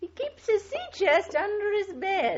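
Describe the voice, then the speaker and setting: A woman uses a put-on character voice. It is squeaky and extremely high-pitched. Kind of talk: 1940s radio acting. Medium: old radio play. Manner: wheedling, gossipy.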